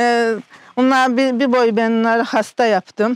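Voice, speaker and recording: Recorded with a dry, close sound and no echo, a woman speaks in a high pitch. Her pace is moderate. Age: 70s. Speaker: self-taught village painter. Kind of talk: interview answer.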